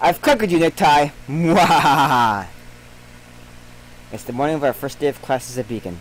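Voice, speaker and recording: Against noticeable background noise, a man talks at a moderate pace in a fairly high voice with lively intonation. He takes long, frequent pauses. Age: 30s. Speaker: game streamer. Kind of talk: let's play commentary reading game text aloud. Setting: live stream.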